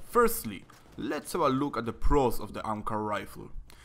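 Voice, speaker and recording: A man speaks at medium pitch with a non-native accent and a bright, sharp tone. His pitch swings very widely. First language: not English. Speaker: gaming video creator. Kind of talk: scripted tutorial-style video review.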